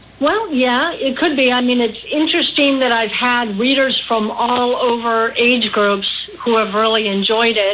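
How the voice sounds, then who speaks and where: A woman with a high pitch talks at a fairly slow pace with hardly any pauses. Her loudness stays very even and her pitch variation ordinary, with noticeable background noise around her. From Midwest US, Milwaukee. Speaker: author. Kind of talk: radio interview.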